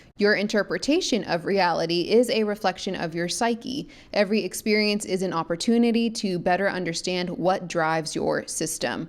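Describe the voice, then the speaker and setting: A woman's animated, medium-pitched voice with ordinary pitch variation and hardly any pauses. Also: moderate pace, very clean recording, silent background. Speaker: spiritual podcast host. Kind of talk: solo podcast monologue. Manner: casual, animated.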